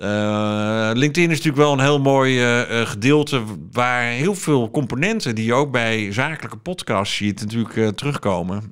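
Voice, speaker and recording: At a moderate pace and with hardly any pauses, a man speaks with ordinary pitch variation against a quiet background. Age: 40s. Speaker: podcast publisher and media consultant; podcast publisher. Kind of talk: interview. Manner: hesitant, many filler sounds. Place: office. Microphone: studio mic.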